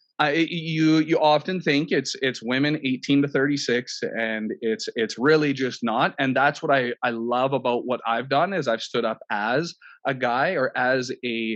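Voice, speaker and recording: A man's fairly high voice in a Canadian accent, fairly slow and with hardly any pauses, ordinary pitch variation, over a quiet background. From Canada. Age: 30s. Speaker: eating coach. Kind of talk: podcast interview. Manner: halting, many repetitions.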